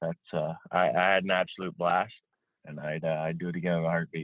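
A man at a fairly quick pace, the sound dry and close with no echo.

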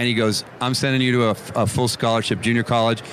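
A man's medium-pitched voice with a Canadian accent at a fairly quick pace, amid noticeable background noise. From Canada. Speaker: former football punter. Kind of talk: casual chat. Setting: radio row at the Super Bowl.

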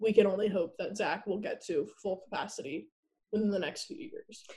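Somewhat breathy, a woman talks at a moderate pace and medium pitch. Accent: American. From New Jersey, US. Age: 20s. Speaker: university student, patient's sister. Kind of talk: casual interview.

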